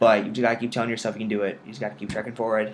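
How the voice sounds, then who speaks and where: A man mumbles at a very fast pace. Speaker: medical student vlogger. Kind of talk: casual video diary. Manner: mumbling; rambling.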